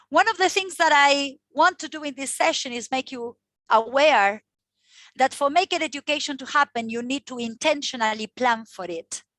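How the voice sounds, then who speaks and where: A woman speaks loudly at a high pitch, her tone bright and sharp, with lively intonation at a moderate pace. The sound is dry and close with no echo, on a very clean recording with a silent background. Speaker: teacher trainer. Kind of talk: workshop presentation. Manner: loud, passionate.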